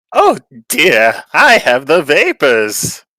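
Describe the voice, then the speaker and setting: Putting on a character voice, a man speaks at a fairly high pitch. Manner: indignant, theatrical.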